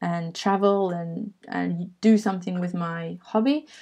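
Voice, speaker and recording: A woman speaks at medium pitch against a quiet background. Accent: English. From England. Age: 20s. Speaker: travel photographer. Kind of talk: webinar sales pitch. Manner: hesitant fillers.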